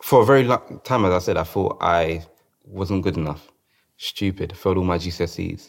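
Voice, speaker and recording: Fairly quick speech in a man's very deep, low voice. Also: ordinary pitch variation. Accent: London. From South London. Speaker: dancer and choreographer. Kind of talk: interview.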